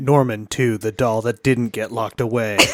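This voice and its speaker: In a put-on character voice, a man speaks at a medium pitch and a moderate pace with monotone, flat intonation. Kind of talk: announcer.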